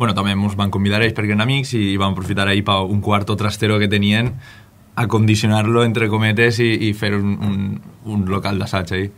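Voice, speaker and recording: A man talks at a fairly quick pace. His intonation is monotone and flat. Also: fairly low pitch for a man. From Valencian Country, Benifalló; Valencian Country. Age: 20s. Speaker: musician. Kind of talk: radio interview. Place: studio.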